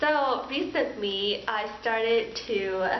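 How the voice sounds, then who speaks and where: In a Southern California accent, a woman speaks at a very slow pace with audible room echo and noticeable background noise. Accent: valley girl. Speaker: pharmacy student. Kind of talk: casual vlog chat. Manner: animated.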